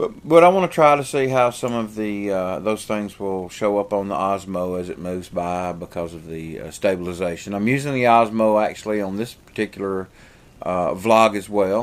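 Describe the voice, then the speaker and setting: A man speaks in a fairly low voice with a strong Southern US accent, at a moderate pace. His pitch moves in an ordinary way while his loudness swings widely. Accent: heavy southern US. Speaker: vlogger and pastor. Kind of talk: casual vlog chat. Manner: rambling with many fillers.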